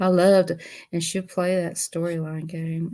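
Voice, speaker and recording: A woman speaks with a Southern US accent. Her intonation is monotone and flat. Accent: Southern US (Georgia). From US South, Georgia. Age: 60s. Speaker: YouTuber doing a craft livestream. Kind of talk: casual livestream chat. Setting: sit-down livestream.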